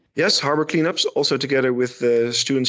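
With a Dutch accent, a man talks at a very fast pace with fairly even intonation, in a dry, close sound with no echo. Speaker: shipyard marketing manager. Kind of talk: interview. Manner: halting.

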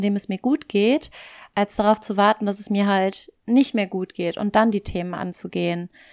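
In an ordinary speaking voice, a woman talks at a medium pitch and moderate pace with fairly even intonation, in a dry, close sound with no echo on a very clean recording with a silent background. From German-speaking Belgium. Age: 20s. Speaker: podcast co-host. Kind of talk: casual chat. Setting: long-distance call.

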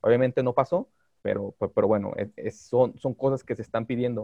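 A man with a normal speaking voice talks at a medium pitch and a moderate pace, his intonation fairly even. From Mexico, Guadalajara. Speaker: lawyer specializing in digital law. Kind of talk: podcast interview.

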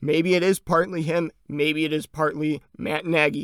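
An American accent marks this man's ordinary speaking voice, fairly high in pitch with fairly even intonation, recorded very cleanly against a silent background in a dry, close sound with no echo. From Chicago, US Midwest. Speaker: sports podcast host. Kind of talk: solo sports commentary podcast.

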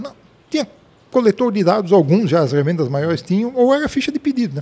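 A man talks very fast in a dark, mellow tone. His pitch swings very widely. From Blumenau, southern Brazil. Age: 60s. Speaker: retired software company founder. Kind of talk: interview.

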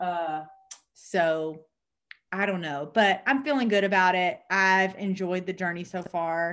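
A woman with a Southern US accent speaks at a fairly slow pace, her pitch varying in an ordinary way. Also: medium pitch for a woman. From US South. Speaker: podcast co-host. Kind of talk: casual chat.

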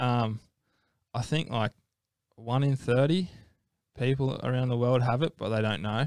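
A man's medium-pitched voice in an Australian accent, ordinary pitch variation, long and frequent pauses, and a dry, close sound with no echo. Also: fairly slow pace. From Australia, Gold Coast. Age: 20s. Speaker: professional ocean athlete. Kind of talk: casual interview. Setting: studio.

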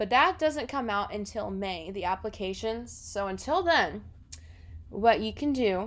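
A plain, everyday voice in an American accent, at a moderate pace with ordinary pitch variation. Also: woman. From South Florida. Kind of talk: casual podcast monologue.

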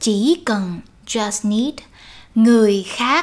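The speaker talks with lively intonation in a Vietnamese accent. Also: woman. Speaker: Vietnamese language teacher. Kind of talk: language lesson. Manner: slow, with repetitions.

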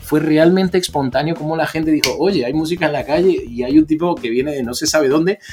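A man's animated voice at a very fast pace, with very wide pitch swings. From Argentina. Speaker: DJ and musician. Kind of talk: casual interview chat.

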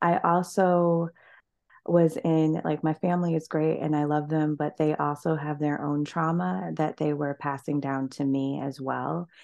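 Against a quiet background, a woman with an American accent speaks at a fairly slow pace. Her voice is very deep and low. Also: ordinary pitch variation. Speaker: marketing consultant and motivational speaker. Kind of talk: interview. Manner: animated.

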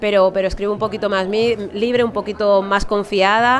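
A woman with a Madrid accent speaks in fairly even intonation over noticeable background noise. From Alcorcón, Madrid, Spain. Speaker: novelist and journalist. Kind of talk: interview at a book fair. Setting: live radio booth at a book fair.

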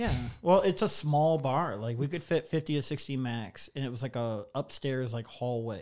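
With lively intonation and a normal speaking voice, this man keeps a moderate pace. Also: medium pitch for a man. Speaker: stand-up comedian. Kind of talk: casual chat. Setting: studio.

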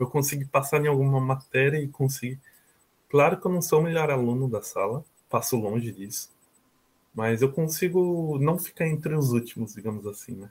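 A man's somewhat breathy voice at fairly high pitch, with ordinary pitch variation. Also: moderate pace. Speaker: university student abroad. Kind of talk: interview testimony.

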